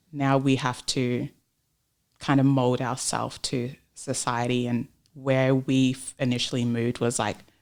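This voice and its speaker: Monotone, flat intonation in an Australian accent. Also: woman, very deep, low pitch for a woman. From Australia (Melbourne), born in Papua New Guinea. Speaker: entrepreneur and sales professional. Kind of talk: podcast interview.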